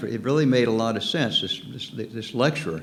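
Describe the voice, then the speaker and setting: Room echo is audible as a man talks at a fairly quick pace and medium pitch with ordinary pitch variation. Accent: American. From US South, Norfolk, Virginia. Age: 70s. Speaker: pastor. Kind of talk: sermon. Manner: halting.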